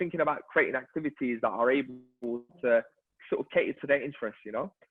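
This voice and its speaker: A man speaks very fast with a London accent. His fairly high voice has lively intonation. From London, Hackney. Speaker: local councillor and charity chief executive. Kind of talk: virtual event discussion.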